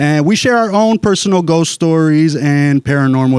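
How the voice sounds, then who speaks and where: In an American accent, a man with an unremarkable speaking voice talks at a fairly slow pace, the sound dry and close with no echo. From Los Angeles. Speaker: stand-up comedian. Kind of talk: casual podcast talk.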